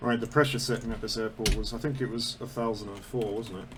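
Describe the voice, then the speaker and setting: A man with a medium pitch speaks fairly quickly, his intonation fairly even. Room echo is audible, and there is noticeable background noise. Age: 30s. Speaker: flight sim gamer. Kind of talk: casual gameplay commentary. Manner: rambling, casual.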